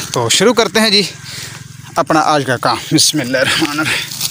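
A man speaks at a fairly quick pace in a fairly high, bright, sharp tone over faint background noise.

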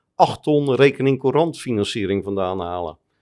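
Ordinary pitch variation marks a man's speech at a moderate pace. Little else sounds in the quiet background. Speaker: private equity investor and columnist; podcast guest. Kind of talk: interview. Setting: studio lounge. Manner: halting, many repetitions and fillers. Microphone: studio mic.

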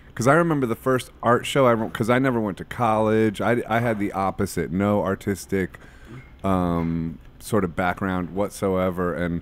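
The speaker talks at a moderate pace with an American accent and ordinary pitch variation. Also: man. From Ohio, US Midwest. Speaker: podcast host and musician. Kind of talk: casual chat. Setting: studio. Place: studio. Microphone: studio mic.

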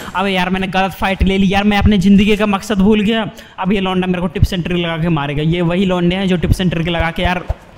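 A high-pitched man with hardly any pauses, over noticeable background noise. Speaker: gamer doing comedic commentary. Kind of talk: funny gameplay commentary. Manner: joking, boastful, excitable.

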